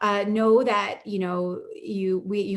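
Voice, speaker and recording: Speaking at a fairly slow pace, a woman uses a fairly high pitch over noticeable background noise. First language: not English. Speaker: panel moderator. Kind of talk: panel discussion.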